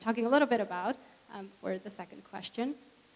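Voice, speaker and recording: Over noticeable background noise, a woman with a Spanish accent speaks at a fairly high pitch. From Puerto Rico, small town. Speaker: professor. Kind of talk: panel discussion. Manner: hesitant, many fillers.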